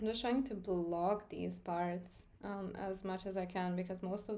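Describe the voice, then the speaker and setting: Audible room echo surrounds a woman with a Serbian accent speaking at medium pitch. Her intonation is monotone and flat, and her pace is fairly slow. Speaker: art teacher. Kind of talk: live stream tutorial. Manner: casual, filler-heavy.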